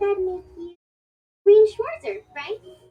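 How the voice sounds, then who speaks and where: This is a put-on character voice, squeaky and extremely high in pitch. The speaker sounds squeaky throughout the act. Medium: video game. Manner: warm, casual.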